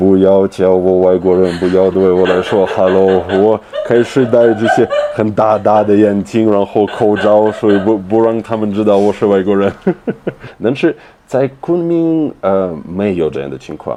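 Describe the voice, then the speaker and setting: A man speaks at a fairly low pitch with ordinary pitch variation. Noticeable background noise sits behind him. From Russia. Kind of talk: interview answer.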